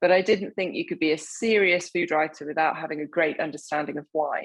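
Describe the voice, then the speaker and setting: A woman speaks in an English accent. Her pitch is fairly low and her intonation fairly even. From southern England, Hampshire. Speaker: wine writer. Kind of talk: interview.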